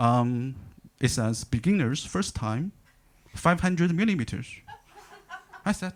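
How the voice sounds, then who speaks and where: A man speaks with a Chinese accent at a medium pitch, his voice swinging very widely in pitch. He goes at a fairly slow pace with long, frequent pauses. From China. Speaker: stand-up comedian. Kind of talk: stand-up. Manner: halting, many fillers and repeats.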